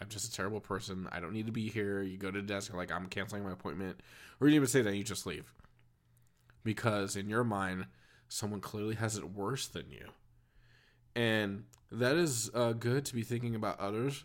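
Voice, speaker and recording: A man speaks with an American accent at a fairly low pitch and ordinary pitch variation. His pace is fairly quick, broken by long, frequent pauses. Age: 30s. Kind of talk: casual monologue.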